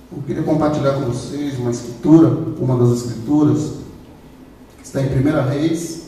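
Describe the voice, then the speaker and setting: A man's fairly high voice at a fairly slow pace, with fairly even intonation, audible room echo and noticeable background noise. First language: not Portuguese (speaking Portuguese). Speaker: preacher. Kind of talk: sermon.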